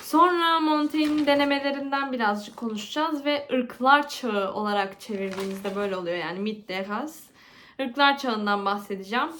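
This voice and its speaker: With a Turkish accent, a woman talks at a moderate pace and high pitch with lively intonation, her voice carrying audible room echo over noticeable background noise. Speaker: literature student, video creator. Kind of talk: casual vlog intro then study revision talk. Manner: halting with self-corrections.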